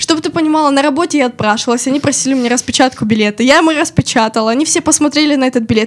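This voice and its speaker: Ordinary pitch variation comes through against noticeable background noise. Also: woman. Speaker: media company special projects manager. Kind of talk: casual chat, personal stories. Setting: studio.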